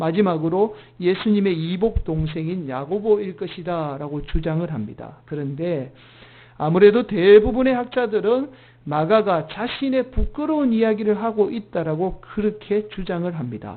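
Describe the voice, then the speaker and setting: A man speaks at a moderate pace with a high-pitched voice. His intonation is lively. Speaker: senior pastor. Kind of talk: sermon. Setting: church Sunday service.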